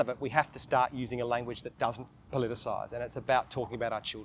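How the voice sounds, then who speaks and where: Talking at a very fast pace, this man has an Australian accent. His pitch is medium. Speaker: documentary filmmaker. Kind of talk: interview.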